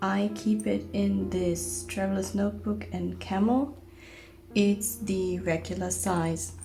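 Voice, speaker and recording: Music plays in the background as a woman speaks at a very slow pace, with audible room echo. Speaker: journaling vlogger. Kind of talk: product show-and-tell.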